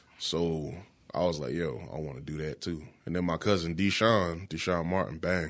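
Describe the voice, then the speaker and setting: This man's pitch is very deep and low, with ordinary variation. He speaks at a moderate pace. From South Carolina, Florence. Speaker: music producer and beatmaker. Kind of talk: casual chat. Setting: studio.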